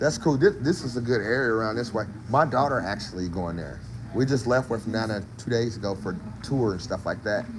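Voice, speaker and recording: With a Mississippi accent, a man talks at a fairly quick pace in an animated tone. His medium pitch shows ordinary variation, with audible room echo around him. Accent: Southern US (Mississippi) English. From Mississippi, US South. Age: 60s. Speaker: barbecue cook and food vlogger. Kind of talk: casual live-stream chat. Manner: animated, informal.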